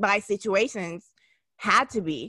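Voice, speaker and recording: Recorded very cleanly against a silent background, a woman at medium pitch has a bright, sharp tone and ordinary pitch variation. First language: not English. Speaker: podcast co-host. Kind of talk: casual chat.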